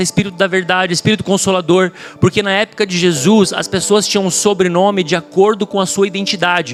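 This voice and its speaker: Music plays in the background. A man with a high pitch talks at a fairly quick pace. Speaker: pastor. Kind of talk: sermon. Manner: fast.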